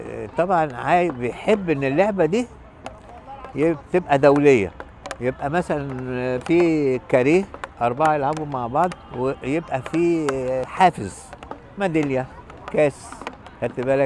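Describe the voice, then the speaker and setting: Against noticeable background noise, a man with a fairly high pitch and ordinary pitch variation talks at a fairly slow pace, taking long, frequent pauses. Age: 70s. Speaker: veteran beach racket player. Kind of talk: documentary interview.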